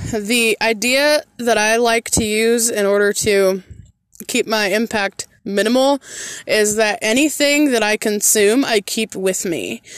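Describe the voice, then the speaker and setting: With an American accent, the speaker goes at a very slow pace with fairly even intonation, very even loudness, and a dry, close sound with no echo. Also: woman. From Central Michigan. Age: 30s. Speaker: podcast host, solo traveler. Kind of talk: casual solo monologue answering listener questions. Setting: indoors at a house while dog sitting. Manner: conversational with frequent fillers.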